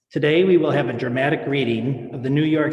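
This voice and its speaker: A man with a fairly high pitch, an unremarkable speaking voice and ordinary pitch variation. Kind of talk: event introduction by host. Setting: video call.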